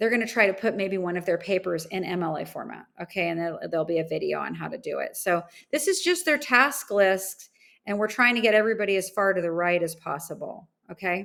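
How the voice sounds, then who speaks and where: A woman talks at a very fast pace in a medium pitch with ordinary pitch variation. The recording is very clean, with a silent background. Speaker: program coordinator training staff. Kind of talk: screen-share training walkthrough. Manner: casual, many fillers.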